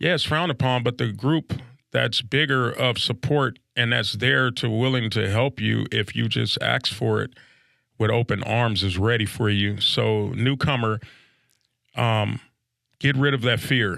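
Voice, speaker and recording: A man at medium pitch speaks at a fairly slow pace with a bright, sharp tone, vocal fry and very even loudness, in a very clean recording with a silent background. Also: ordinary pitch variation. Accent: American. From South Central Los Angeles. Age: 50s. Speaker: recovering addict, podcast guest. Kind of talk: recovery testimony interview. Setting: studio.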